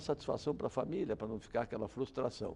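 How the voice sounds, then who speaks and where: A man speaks in a dark, mellow tone with vocal fry. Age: 70s. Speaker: criminal defense lawyer. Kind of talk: interview.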